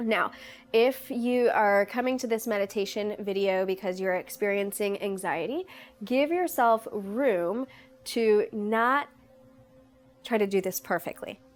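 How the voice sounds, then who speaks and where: A woman with a fairly high pitch and a plain, everyday voice speaks at a fairly slow pace with ordinary pitch variation. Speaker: yoga instructor. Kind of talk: guided meditation. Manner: calm, conversational.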